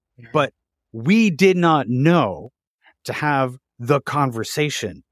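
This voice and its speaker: The recording is very clean and the background silent. A man talks in it with lively intonation. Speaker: podcast host. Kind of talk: interview.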